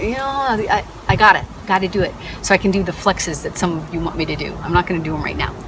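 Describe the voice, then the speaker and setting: Over noticeable background noise, a woman with a medium pitch talks at a very fast pace with very wide pitch swings. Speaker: vlogger, corporate contingent workforce specialist. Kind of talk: casual vlog monologue. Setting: at home.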